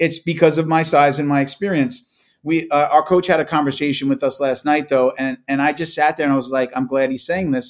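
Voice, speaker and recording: With an ordinary speaking voice, a man talks at a fairly quick pace, his fairly high pitch held in fairly even intonation. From Long Island, New York. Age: 40s. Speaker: jiu-jitsu practitioner and podcaster. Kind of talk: casual interview chat.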